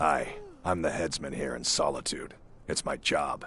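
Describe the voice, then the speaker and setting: A raspy put-on character voice from a man at a moderate pace, with clear background noise. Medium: video game. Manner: gruff, blunt.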